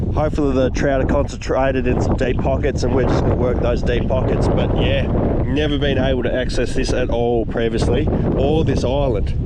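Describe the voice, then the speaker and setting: With very even loudness and a fairly quick pace, a man talks amid noticeable background noise and audible room echo. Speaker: fishing vlogger. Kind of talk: casual outdoor vlog chat. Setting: outdoors by a lake in wind and rain.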